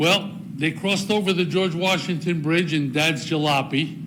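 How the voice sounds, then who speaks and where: In an American accent, a man with a high pitch and fairly even intonation speaks at a fairly slow pace, with audible room echo and noticeable background noise. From northern New Jersey. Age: 80s+. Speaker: veteran speaking at council meeting. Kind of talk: public comment speech. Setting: council meeting chamber.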